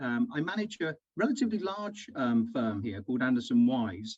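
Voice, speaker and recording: This man has a British accent. Very wide swings mark his pitch. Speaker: recruitment firm manager. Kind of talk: online presentation. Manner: hesitant with frequent fillers.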